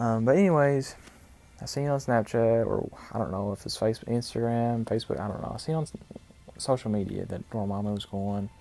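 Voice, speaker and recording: This man's medium-pitched voice has a dark, mellow tone. He speaks at a fairly quick pace with ordinary pitch variation. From US South, small town. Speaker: gaming YouTuber. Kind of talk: casual gameplay storytelling. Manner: rambling, halting.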